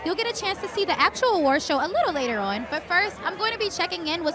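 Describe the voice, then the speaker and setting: A woman speaks in a raised, projected voice, the sound dry with no echo and faint music in the background. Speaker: event host. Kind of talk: presenter intro to camera. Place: street. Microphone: handheld.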